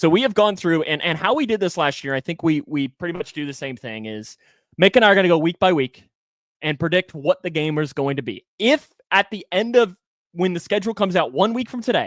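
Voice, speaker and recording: On a very clean recording with a silent background and a dry, close sound with no echo, a man with a slight Kentucky accent speaks at a high pitch with very wide pitch swings. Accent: slight rural Kentucky country. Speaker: sports podcast host. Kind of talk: casual chat.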